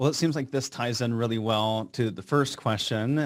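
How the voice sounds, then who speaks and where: A man with an ordinary speaking voice, medium pitch, fairly even intonation, and moderate pace, on a very clean recording with a silent background. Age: young. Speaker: financial planner and podcast host. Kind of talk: podcast interview.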